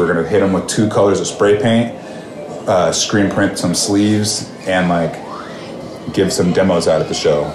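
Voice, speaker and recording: A man with an American accent speaks at a very deep, low pitch and a moderate pace. Noticeable background noise and audible room echo fill the recording. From California, Bakersfield. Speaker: hardcore punk musician. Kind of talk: casual interview chat.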